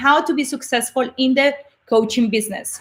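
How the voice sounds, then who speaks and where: Raised and projected with a bright, sharp tone, a woman's high voice in a Colombian accent moves at a fairly quick pace. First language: Spanish. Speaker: motivational speaker and coach. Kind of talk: live webinar talk. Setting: livestream broadcast.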